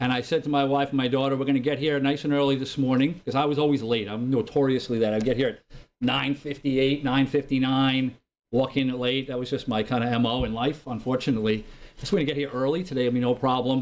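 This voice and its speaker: With a New York accent, a man talks at a very fast pace using fairly even intonation. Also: medium pitch for a man. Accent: New York area American. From New York / New Jersey area. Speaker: lay preacher. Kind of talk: sermon. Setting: church. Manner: loud.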